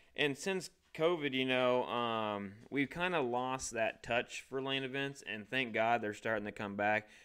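At a fairly slow pace with hardly any pauses, a man with a Midwestern American accent speaks at a medium pitch with ordinary pitch variation. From US Midwest, Illinois. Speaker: podcast host. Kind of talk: casual chat.

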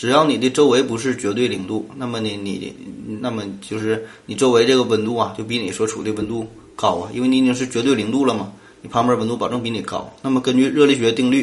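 With a Northeastern Chinese accent, a man talks at a very fast pace in a medium pitch with fairly even intonation. Noticeable background noise and audible room echo are present. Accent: Northeastern Mandarin. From Northeast China. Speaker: podcast host. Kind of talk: solo science podcast. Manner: casual, filler-heavy.

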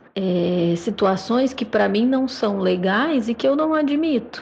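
A woman's fairly high-pitched voice amid noticeable background noise. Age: 30s. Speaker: lawyer. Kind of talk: testimony. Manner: halting.

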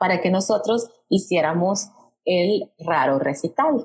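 A woman speaks in a somewhat breathy voice. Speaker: podcast co-host, storytelling trainer. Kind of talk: casual conversational storytelling.

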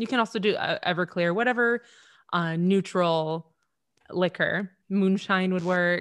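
A woman speaks in a normal speaking voice at a medium pitch, with fairly even intonation and a dry, close sound with no echo. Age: 30s. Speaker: bartender and TikToker. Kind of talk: casual chat.

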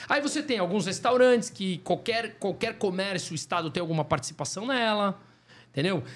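On a very clean recording with a silent background, a man with a high pitch talks at a fairly quick pace, his voice swinging very widely in pitch. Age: 40s. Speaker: economist. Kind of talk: casual chat.

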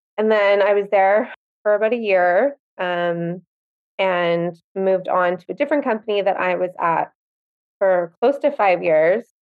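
In an unremarkable speaking voice, a woman with a Canadian accent talks fairly slowly at a medium pitch with ordinary pitch variation. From Winnipeg, Canada. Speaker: boutique owner. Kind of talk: casual interview chat.

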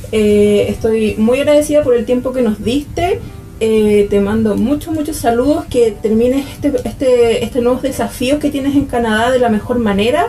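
A woman with a Chilean accent speaks at a moderate pace in a high pitch, with ordinary pitch variation and very even loudness. Noticeable background noise sits behind her. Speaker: podcast host. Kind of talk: interview.

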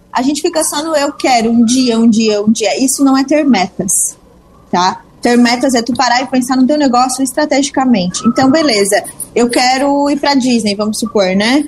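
Over noticeable background noise, a woman speaks at a moderate pace in a high voice with ordinary pitch variation. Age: 20s. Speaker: business mentor and entrepreneur. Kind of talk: radio interview.

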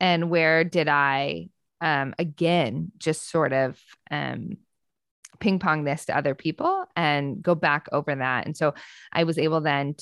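A woman's very deep, low voice with ordinary pitch variation over a quiet background. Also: dry, close sound with no echo. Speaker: author and theologian. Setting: video call.

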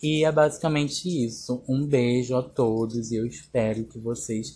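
This man's tone is dark and mellow, somewhat breathy, with fairly even intonation. He talks at a fairly slow pace. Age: 20s. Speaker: podcast host and makeup artist. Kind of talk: casual solo podcast monologue.

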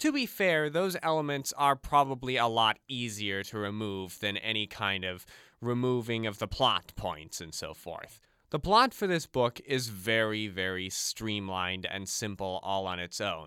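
A man speaks at a fairly slow pace with lively intonation and a bright, sharp tone. The recording is very clean, with a silent background. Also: medium pitch for a man. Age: 20s. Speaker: podcast host. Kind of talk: solo podcast commentary. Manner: reading aloud from a novel.

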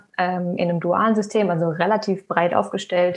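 At a moderate pace, a woman speaks in an unremarkable speaking voice. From Germany, Hesse (near Frankfurt). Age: 20s. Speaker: recent graduate, researcher. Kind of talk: podcast interview at live event.

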